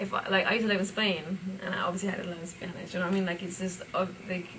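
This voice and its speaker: Someone speaks very fast in an American accent with monotone, flat intonation. There is noticeable background noise and audible room echo. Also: woman, medium pitch for a woman. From UK. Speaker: rapper. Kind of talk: casual interview. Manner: halting, many fillers.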